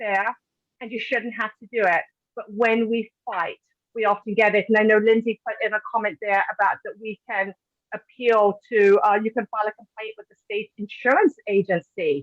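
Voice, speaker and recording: A woman's fairly high voice in a British accent, with big swings in loudness and a dry, close sound with no echo. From Britain. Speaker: patient advocate, webinar host. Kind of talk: webinar presentation.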